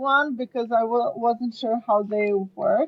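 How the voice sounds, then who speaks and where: Over music in the background, a woman with a Serbian accent speaks at a very slow pace in a high pitch with fairly even intonation. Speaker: marketer and podcast co-host. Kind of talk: casual chat.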